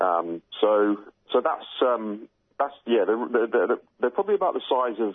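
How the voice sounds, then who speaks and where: A man in a British accent at a fairly slow pace. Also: medium pitch for a man, lively intonation. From UK. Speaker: bird researcher. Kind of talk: interview. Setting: phone call.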